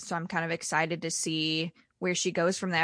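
A bright, sharp voice in flat monotone, dry and close with no echo, over a quiet background. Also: woman. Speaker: guest. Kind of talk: casual chat.

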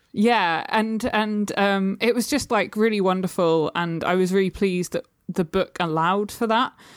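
Speaking at a moderate pace with very even loudness and ordinary pitch variation, a woman in a British accent comes through a very clean recording with a silent background. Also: medium pitch for a woman, hardly any pauses. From UK. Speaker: poet and small press publisher. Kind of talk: casual chat.

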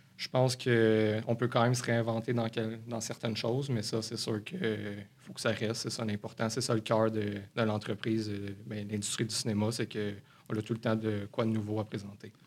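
The man's voice sits at a medium pitch. His intonation is monotone and flat, at a moderate pace. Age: 20s. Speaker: cinema manager. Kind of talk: interview.

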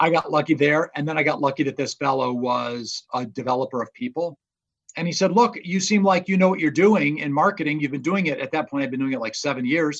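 This man rushes along very fast in a fairly high pitch, his pitch varying in an ordinary way. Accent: American. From Indiana, US Midwest. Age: 50s. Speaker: business professor and author. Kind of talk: interview. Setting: remote call.

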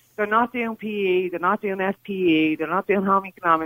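The speaker talks with an Irish accent at a fairly quick pace. The intonation stays fairly even. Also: woman. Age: 40s. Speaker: caller, mother. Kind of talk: radio phone-in call. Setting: phone call.

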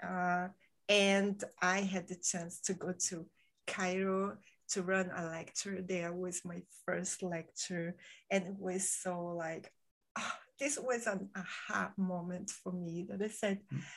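A woman speaks very slowly at a medium pitch. The background is quiet. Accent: Brazilian. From Brazil, Rio de Janeiro. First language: Portuguese. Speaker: podcaster. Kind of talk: casual interview chat. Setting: at home in Spain, in-person with one host. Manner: soft-spoken; bubbly.

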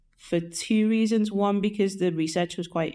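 A dark, mellow voice with a Liverpool accent moves at a moderate pace on a very clean recording with a silent background. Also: woman. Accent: Liverpool (Scouse). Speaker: artist, illustrator and painter. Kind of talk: interview. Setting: mansion house, in person. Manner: casual, with fillers.

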